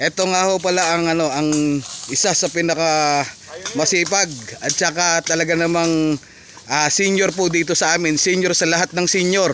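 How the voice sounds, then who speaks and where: Over noticeable background noise, a man speaks with a high pitch at a moderate pace. His pitch varies in an ordinary way. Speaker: farmer vlogger. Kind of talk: casual talk to camera.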